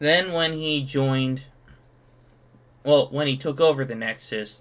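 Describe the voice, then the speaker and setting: An unremarkable speaking voice belongs to a man, fairly high in pitch and fairly slow, with fairly even intonation. The recording is very clean, its background silent. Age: 20s. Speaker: streamer reacting to online posts. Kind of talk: casual solo commentary reading comments.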